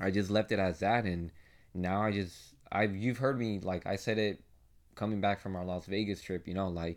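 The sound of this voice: On a very clean recording with a silent background, a man at a fairly low pitch speaks at a moderate pace.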